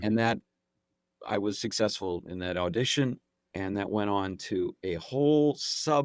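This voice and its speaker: Recorded with a dry, close sound and no echo, a man talks at a fairly slow pace with ordinary pitch variation. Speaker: actor and impressionist. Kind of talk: interview answer, casual conversational talk.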